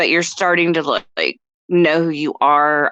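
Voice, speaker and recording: This woman talks at a fairly slow pace. Her tone is bright and sharp. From North Texas. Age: 50s. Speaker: voice actress. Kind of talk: casual chat.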